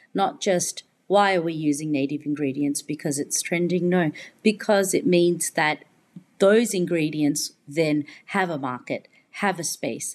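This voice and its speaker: On a very clean recording with a silent background, a woman with an Australian accent speaks fairly slowly at a fairly low pitch. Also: ordinary pitch variation. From Australia, Melbourne. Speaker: chef. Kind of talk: casual chat.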